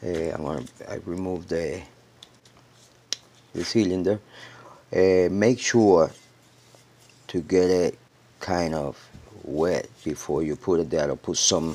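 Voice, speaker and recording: A man with a slight non-native accent talks very slowly in a very deep, low voice, with ordinary pitch variation and long, frequent pauses. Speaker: DIY gold recovery video maker. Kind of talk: tutorial. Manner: casual, hesitant with fillers.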